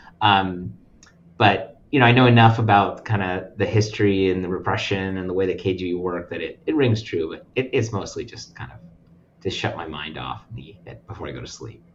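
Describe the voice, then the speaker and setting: Audible room echo carries a man's fairly low voice as he speaks fairly quickly, with ordinary pitch variation and big swings in loudness. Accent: American. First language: Russian. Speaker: nonprofit lending representative. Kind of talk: casual chat.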